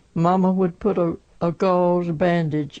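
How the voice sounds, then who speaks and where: A woman speaks very slowly in a Southern US accent. Her pitch is fairly low, and her tone is dark and mellow. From Alabama, USA. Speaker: 1918 flu pandemic survivor. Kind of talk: oral history interview answer.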